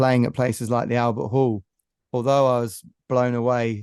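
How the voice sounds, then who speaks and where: With a quiet background and a dry, close sound with no echo, a man speaks at a moderate pace and medium pitch in an unremarkable speaking voice. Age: 50s. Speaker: singer-songwriter. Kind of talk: casual interview chat.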